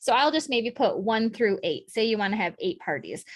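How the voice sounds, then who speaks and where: The intonation is lively and the pace moderate. It is an ordinary speaking voice over a quiet background. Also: woman. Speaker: direct sales team leader. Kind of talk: training session.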